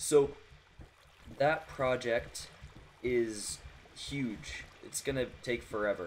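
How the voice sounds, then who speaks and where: Speaking at a very slow pace with long, frequent pauses, a man uses a medium pitch and ordinary pitch variation. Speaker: gaming video creator. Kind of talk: gameplay commentary. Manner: halting, self-correcting.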